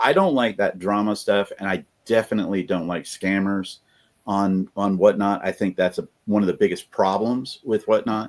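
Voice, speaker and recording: An American man with an unremarkable speaking voice and a fairly low pitch talks at a moderate pace. His intonation is fairly even, and the recording is very clean with a silent background. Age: 60s. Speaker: reseller. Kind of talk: casual chat.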